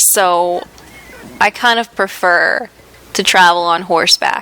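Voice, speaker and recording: Over noticeable background noise, a woman speaks very slowly at a fairly low pitch with fairly even intonation. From United States. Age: young. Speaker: gaming YouTuber. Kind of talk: let's play commentary. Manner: casual, chatty.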